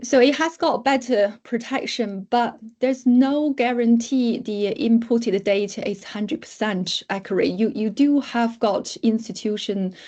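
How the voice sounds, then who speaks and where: A woman talks at a fairly slow pace with hardly any pauses, her fairly high voice dark and mellow in tone. She has a non-native accent and ordinary pitch variation. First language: not English. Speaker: academic researcher. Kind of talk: lecture. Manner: halting.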